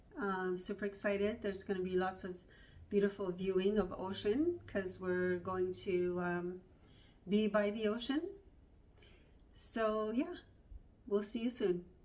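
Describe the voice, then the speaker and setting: A woman talks at a fairly slow pace, leaving long, frequent pauses. Her pitch is medium, with ordinary variation. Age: 60s. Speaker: homesteading vlogger. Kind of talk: casual vlog narration.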